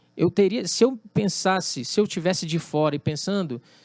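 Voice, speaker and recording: This man's voice sits high for a man, with lively intonation at a moderate pace, in a dry, close sound with no echo. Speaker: drummer and music producer. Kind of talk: interview conversation.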